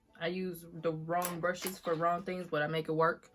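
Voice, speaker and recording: There is music in the background as a woman speaks. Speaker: beauty vlogger. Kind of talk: makeup tutorial. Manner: casual, chatty.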